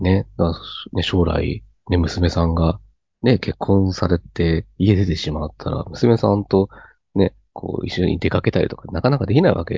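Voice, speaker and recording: Here a man speaks with a very deep, low pitch. His voice is somewhat breathy. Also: ordinary pitch variation, moderate pace. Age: 30s. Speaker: cram school teacher. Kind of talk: casual chat.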